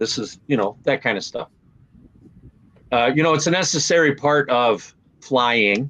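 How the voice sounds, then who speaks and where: Speaking at a moderate pace, a man with an American accent shows ordinary pitch variation. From Minnesota. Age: 60s. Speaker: Navy veteran. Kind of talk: interview.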